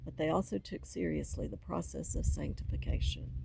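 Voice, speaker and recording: Speaking at a moderate pace, a woman talks in a Southern US accent. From US South. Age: 60s. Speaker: faith vlogger. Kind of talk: personal testimony.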